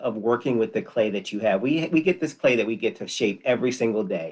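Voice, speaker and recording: A plain, everyday voice with an American accent and ordinary pitch variation is heard against a quiet background. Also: man. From Connecticut, US. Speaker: person in addiction recovery. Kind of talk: casual interview.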